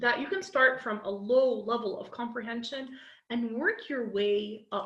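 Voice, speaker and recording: A woman with an American accent talks at a fairly slow pace in a high voice. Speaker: English teacher. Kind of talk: online class lecture.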